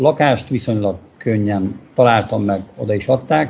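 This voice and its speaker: Here a man speaks in a somewhat breathy voice. His intonation stays fairly even. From Hungary, Székesfehérvár. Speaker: construction business owner. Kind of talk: interview about living abroad. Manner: halting.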